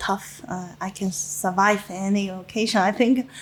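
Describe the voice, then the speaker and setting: A woman speaks with a Chinese accent. Her voice is somewhat breathy. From China. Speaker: winemaker. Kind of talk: interview. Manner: halting, many fillers.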